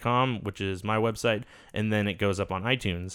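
Pitched fairly low, a man uses a plain, everyday voice with ordinary pitch variation. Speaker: podcast co-host. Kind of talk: casual banter, swearing. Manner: rambling, frequent interruptions.

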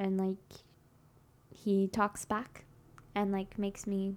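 This woman talks at a very slow pace in a medium pitch. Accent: American. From Texas, Dallas-Fort Worth area. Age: 20s. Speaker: podcast guest. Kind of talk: casual chat.

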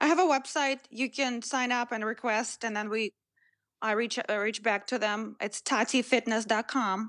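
Against a quiet background, a woman speaks with a Russian accent at a moderate pace. Her pitch is fairly high and her intonation fairly even. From Russia, Moscow. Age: 30s. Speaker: fitness trainer. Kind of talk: interview.

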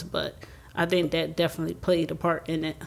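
At a moderate pace, a woman talks in an unremarkable speaking voice with a fairly low pitch. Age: 30s. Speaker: sister of the deceased. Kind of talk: casual chat.

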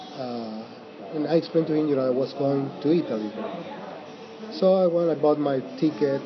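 Speaking at a fairly quick pace in an Argentine accent, a man uses a fairly high pitch with ordinary pitch variation and long, frequent pauses. Noticeable background noise runs underneath. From Mendoza, Argentina. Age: 50s. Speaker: Airbnb host and storyteller. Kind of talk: casual interview. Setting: cafe, then home. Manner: halting, many fillers.

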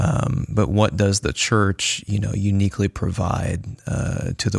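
Against noticeable background noise, a man speaks at a very slow pace, his fairly low voice varying in pitch in an ordinary way. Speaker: podcast host. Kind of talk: casual discussion. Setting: studio.

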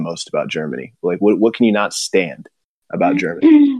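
An unremarkable speaking voice with ordinary pitch variation and a dry, close sound with no echo. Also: man. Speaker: podcast host. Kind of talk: casual chat. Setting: video call.

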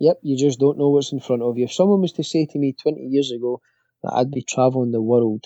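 Speaking at a very fast pace, a man has a dark, mellow tone and ordinary pitch variation, with a dry, close sound with no echo. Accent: Glasgow. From Scotland. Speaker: bagpipe player and instructor. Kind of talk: interview. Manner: halting, many fillers and repetitions.

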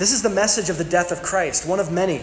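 The clip has audible room echo. Noticeable background noise can be heard too. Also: man. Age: 30s. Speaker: pastor. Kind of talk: sermon.

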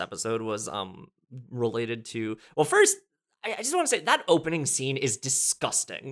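An unremarkable speaking voice from a man with an American accent, medium in pitch, with lively intonation, big swings in loudness and a moderate pace. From New Jersey. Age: 20s. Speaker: writer and musician. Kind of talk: casual chat.

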